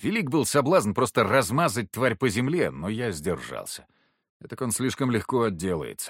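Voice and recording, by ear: The background stays quiet. A passage is read aloud in a natural voice, its pitch varying by an ordinary amount.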